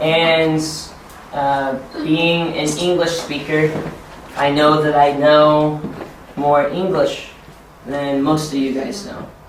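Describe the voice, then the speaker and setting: Amid noticeable background noise and audible room echo, a man with an American accent and a fairly high pitch speaks in a monotone, flat intonation at a very slow pace, with long, frequent pauses. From United States. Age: 20s. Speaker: ESL teacher and trainer. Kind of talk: teacher training workshop.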